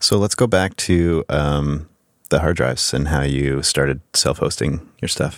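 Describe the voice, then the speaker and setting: With vocal fry and ordinary pitch variation, a man speaks in a very deep, low voice. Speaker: podcast host. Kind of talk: casual chat. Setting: studio.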